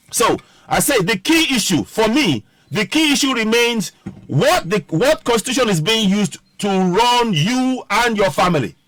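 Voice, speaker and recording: In a Nigerian accent, a man speaks at a high pitch with very wide pitch swings. His loudness stays very even. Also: moderate pace. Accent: Nigerian (Yoruba) English. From Nigeria (Yoruba). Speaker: political commentator, online show host. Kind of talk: political commentary livestream. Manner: halting, self-correcting.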